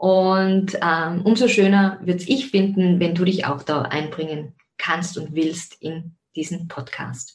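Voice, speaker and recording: A woman's fairly low, somewhat breathy voice, with ordinary pitch variation and a very slow pace. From Austria, Zell am See (Salzburg). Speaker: podcast host, life coach and yoga teacher. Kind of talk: personal monologue.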